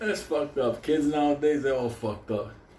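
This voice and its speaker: Amid audible room echo, a man speaks in an animated tone at a fairly high pitch. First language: Spanish. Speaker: storyteller. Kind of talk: casual storytelling monologue.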